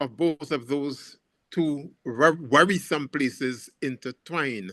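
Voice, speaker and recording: The man's fairly high voice has a bright, sharp tone and ordinary pitch variation. The sound is dry and close, with no echo. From Grenada, Caribbean. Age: 80s+. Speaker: professor and anti-racist activist. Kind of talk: panel discussion answer. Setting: video call. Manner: repetitive, halting starts.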